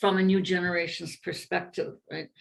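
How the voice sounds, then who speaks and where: The speaker talks at a fairly quick pace with a bright, sharp tone in a Canadian accent. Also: woman. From Canada, Alberta (Edmonton). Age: 70s. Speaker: writer. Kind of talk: oral history interview. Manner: halting, with repetitions.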